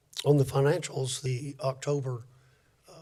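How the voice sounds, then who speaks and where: Somewhat breathy, monotone delivery with flat intonation at a fairly slow pace. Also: man. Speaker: city staff presenting finances. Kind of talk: public board meeting report. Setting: city board meeting. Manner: halting, many fillers.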